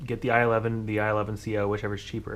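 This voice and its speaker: At a fairly quick pace, a man speaks in a fairly low pitch. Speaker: tech YouTuber building PCs. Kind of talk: hardware build tutorial. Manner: fast; casual with fillers. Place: home room. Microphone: phone near.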